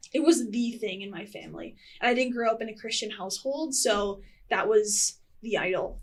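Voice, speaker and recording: Loudness swings widely at a moderate pace. The speaker has a slight Wisconsin accent and ordinary pitch variation. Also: woman, fairly high pitch for a woman. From US Midwest, rural Wisconsin near Wausau. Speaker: former college track athlete. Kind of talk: casual chat.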